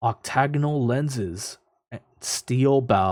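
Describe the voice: Against a quiet background, someone does plain reading aloud.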